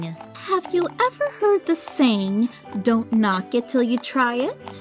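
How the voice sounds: A female-sounding voice performs a put-on character voice at a fairly slow pace. Clear music plays in the background.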